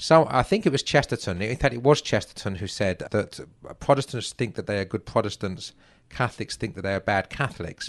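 Speaking at a very fast pace with lively intonation, a man with a medium pitch and an English accent is heard against a quiet background. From England. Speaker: author and literary scholar. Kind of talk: interview discussion about literature.

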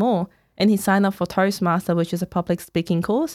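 With a Cantonese accent, a woman speaks at a fairly quick pace, the sound dry and close with no echo on a very clean recording with a silent background. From Hong Kong. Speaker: author. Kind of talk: casual interview chat.

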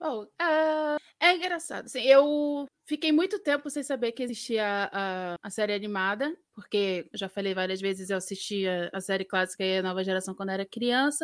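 With a plain, everyday voice, a woman talks at a moderate pace at a medium pitch, her intonation lively. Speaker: panelist. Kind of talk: casual chat.

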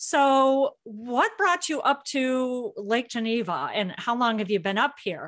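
With a Midwestern American accent, a woman speaks at a very slow pace with hardly any pauses, using a high pitch and very wide pitch swings over a quiet background. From Illinois. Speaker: podcast host. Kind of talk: casual chat; scripted intro and outro.

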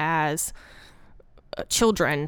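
On a very clean recording with a silent background, a woman talks with a Southern US accent and lively intonation. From Arkansas. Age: 30s. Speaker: woodworker and artist. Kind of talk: casual interview chat. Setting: gallery interview in person.

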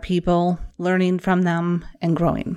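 A woman with a Wisconsin accent speaks in an enthusiastic tone at a moderate pace, her pitch fairly low, on a very clean recording with a silent background. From Wisconsin, US. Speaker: social media marketing business owner and podcast host. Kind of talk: podcast introduction, solo monologue. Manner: friendly, conversational, enthusiastic.

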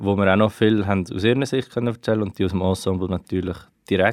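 A man talks at a fairly quick pace with fairly low pitch and fairly even intonation. It is an unremarkable speaking voice. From Switzerland, Aargau (Wohlen). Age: 20s. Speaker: student researching family history. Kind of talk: interview.

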